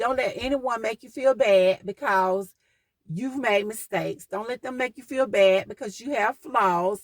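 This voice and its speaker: With a Southern accent, a woman talks at a fairly slow pace with fairly high pitch and lively intonation, in a dry, close sound with no echo. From US South. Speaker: podcast host. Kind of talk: motivational talk.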